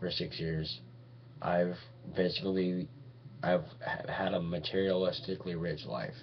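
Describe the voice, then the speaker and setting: Audible room echo surrounds a man with a very deep, low voice who speaks at a fairly slow pace with ordinary pitch variation. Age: 20s. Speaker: vlogger. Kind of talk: webcam monologue. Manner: halting.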